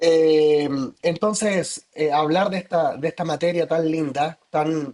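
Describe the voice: A man speaks at a fairly high pitch. His tone is slightly mellow, with ordinary pitch variation.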